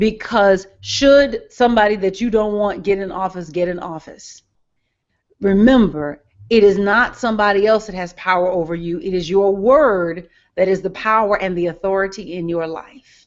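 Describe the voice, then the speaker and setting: With an ordinary speaking voice at a medium pitch, a woman talks at a moderate pace with big swings in loudness. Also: ordinary pitch variation. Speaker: part-time political fundraiser caller. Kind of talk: conversational talk in a live group discussion.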